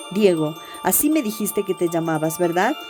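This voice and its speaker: A woman speaks at a moderate pace while music sounds in the background. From Ecuador. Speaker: writer narrating her own story. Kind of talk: audio story reading.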